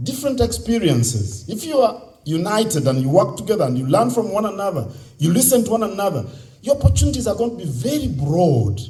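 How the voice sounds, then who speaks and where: A man with a Ugandan accent at a fairly quick pace, pitch swinging very widely, with noticeable background noise and audible room echo. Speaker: convention speaker. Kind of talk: speech to youth audience.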